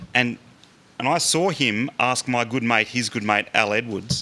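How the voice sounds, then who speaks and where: A man with an Australian accent, medium pitch, ordinary pitch variation and a bright, sharp tone. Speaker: rifle club official. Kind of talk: public talk. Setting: public meeting with audience. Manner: fast.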